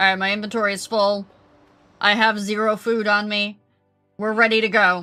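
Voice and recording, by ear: Woman's put-on character voice at medium pitch, monotone and flat, with long, frequent pauses over faint background music. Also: moderate pace.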